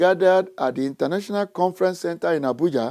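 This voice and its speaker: With lively intonation, a man speaks at a moderate pace in a high voice with a dark, mellow tone. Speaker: TV show host. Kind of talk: scripted presentation.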